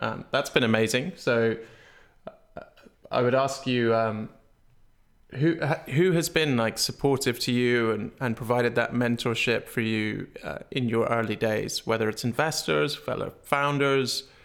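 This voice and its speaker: Recorded very cleanly against a silent background, a man with an unremarkable speaking voice talks fairly slowly at a medium pitch with ordinary pitch variation. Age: 30s. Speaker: interviewer and startup founder. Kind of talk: interview conversation.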